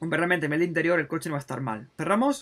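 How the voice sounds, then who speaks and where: A man speaks in an animated way, his tone bright and sharp. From Spain. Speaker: gaming YouTuber. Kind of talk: gameplay commentary. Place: home room.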